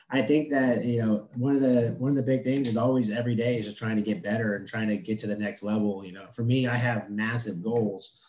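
At a very fast pace, a man with a medium pitch and ordinary pitch variation talks over noticeable background noise. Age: 30s. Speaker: HVAC business owner. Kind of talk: casual interview.

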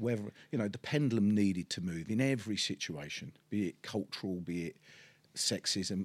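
With a Cockney accent, a man talks at a fairly quick pace, his fairly low pitch moving with ordinary variation. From East End of London. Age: 50s. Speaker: podcast host, property businessman. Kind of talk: casual interview chat. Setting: studio set in an office. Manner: hesitant, many fillers.

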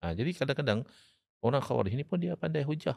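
Very wide pitch swings in a very clean recording with a silent background. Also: man. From Malaysia, Terengganu. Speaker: Islamic scholar and law lecturer. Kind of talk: podcast interview, religious discussion.

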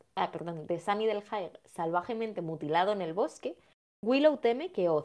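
Lively intonation marks a woman's plain, everyday voice at a medium pitch. She speaks at a moderate pace. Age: 20s. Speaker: podcast co-host. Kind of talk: casual chat about a TV series.

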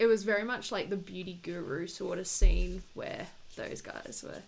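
A woman's medium-pitched voice with vocal fry, at a fairly slow pace. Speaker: podcast co-host. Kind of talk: casual chat.

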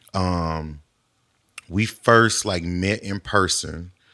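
The man's voice is very deep and low in pitch yet bright and sharp in tone. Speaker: songwriter and producer. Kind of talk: casual interview. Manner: calm, reserved.

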